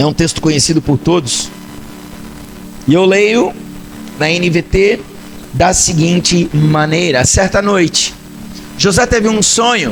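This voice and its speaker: A man talks at a high pitch and a fairly slow pace, with long, frequent pauses, lively intonation and very even loudness, over noticeable background noise. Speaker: pastor. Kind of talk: sermon. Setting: church service.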